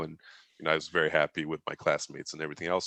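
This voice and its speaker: A man with a Turkish accent speaks at a very deep, low pitch in a bright, sharp tone, with a dry, close sound and no echo. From Turkey. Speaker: business executive. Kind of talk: podcast interview. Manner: conversational.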